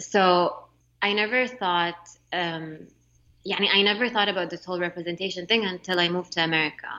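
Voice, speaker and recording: She talks at a fairly quick pace. The woman's voice is medium in pitch with fairly even intonation. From Saudi Arabia (Jeddah), partly raised in Montreal. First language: Arabic. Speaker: illustrator and entrepreneur. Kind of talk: interview conversation.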